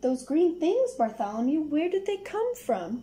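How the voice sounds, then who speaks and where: Putting on a character voice, a woman speaks at a moderate pace with a high pitch and very wide pitch swings. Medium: read story.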